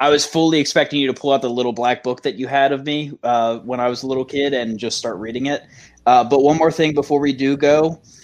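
Against a quiet background, a man speaks at a moderate pace in a plain, everyday voice of medium pitch, with ordinary pitch variation. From Maryland. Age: 20s. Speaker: firefighter and dispatcher. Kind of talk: casual panel discussion.

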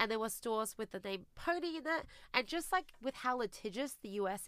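A woman with an Australian accent speaks at a moderate pace. Her fairly high voice has lively intonation. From Australia (immigrated from China at eight). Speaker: business founder and CEO. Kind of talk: interview.

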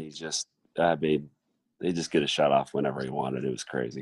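At a very fast pace, a man speaks with a dry, close sound and no echo. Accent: Midwestern American. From Iowa, Mason City. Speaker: college basketball coach. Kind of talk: casual interview.

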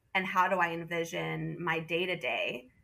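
Delivered at a fairly slow pace, this is a normal speaking voice with an American accent. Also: woman. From US Northeast (southern Vermont). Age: 30s. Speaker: nonprofit worker and mother. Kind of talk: casual interview.

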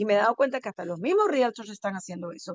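An animated woman's voice, fairly high in pitch, with a dry, close sound and no echo. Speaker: title company representative. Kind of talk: expert advice in interview.

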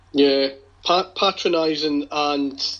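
A man speaks with a Glasgow accent at a fairly high pitch, his intonation fairly even. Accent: Scottish (Glasgow). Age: 50s. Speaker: football supporters' group leader. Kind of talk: casual chat.

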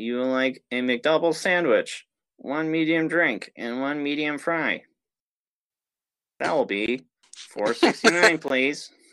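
A put-on robotic character voice talks at a very slow pace with long, frequent pauses. The recording is very clean, with a silent background. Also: man, fairly high pitch for a man. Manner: robotic, flat, over-enunciated.

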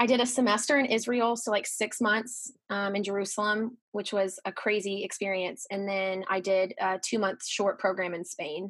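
A woman with an unremarkable speaking voice talks at a moderate pace and medium pitch, with fairly even intonation and hardly any pauses, in a very clean recording with a silent background. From Texas, Dallas. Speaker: former theme park character performer. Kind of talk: casual interview chat.

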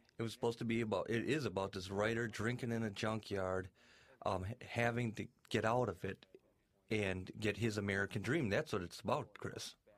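The recording is very clean, its background silent. A man with a fairly low pitch talks at a fairly quick pace, his intonation fairly even. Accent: Wisconsin. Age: 30s. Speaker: documentary subject, filmmaker. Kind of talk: DVD audio commentary.

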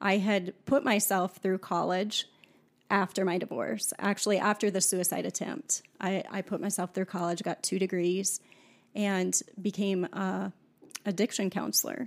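In a very clean, dry, close recording with a silent background and no echo, a voice with an American accent and vocal fry moves at a moderate pace with ordinary pitch variation. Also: woman, medium pitch for a woman. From US Midwest, South Dakota farm. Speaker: podcast guest sharing life story. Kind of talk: personal testimony in casual interview.

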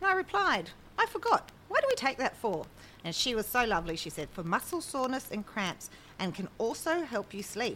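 Talking at a fairly quick pace, a woman uses a high pitch with very wide pitch swings. She speaks with an Australian accent. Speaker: podcast co-host. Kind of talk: casual chat.

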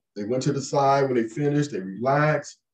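Somewhat breathy, the speech moves along fairly quickly. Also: man. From US West Coast, Compton, California. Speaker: leadership coach and army veteran. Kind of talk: interview.

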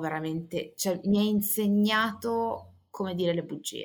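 She has an ordinary speaking voice and fairly even intonation. The woman talks at a fairly slow pace. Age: 30s. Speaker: author and editor. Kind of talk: interview.

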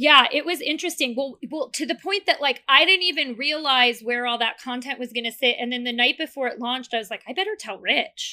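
A woman's raised, projected voice, high in pitch and bright, sharp in tone, at a fairly quick pace with hardly any pauses and ordinary pitch variation, in a very clean recording with a silent background. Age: 40s. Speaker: marketing agency CEO. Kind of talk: casual interview.

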